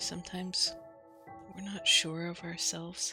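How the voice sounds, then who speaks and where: A woman's medium-pitched voice is heard with music in the background. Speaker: relaxation and sleep-aid content creator. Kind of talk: soft-spoken Minecraft relaxation commentary.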